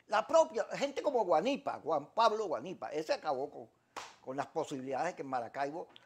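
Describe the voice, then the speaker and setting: Very wide pitch swings at a moderate pace against a quiet background. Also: man. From Venezuela. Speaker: TV talk show host; interview guest. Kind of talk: political interview. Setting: TV studio. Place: studio. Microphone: lapel.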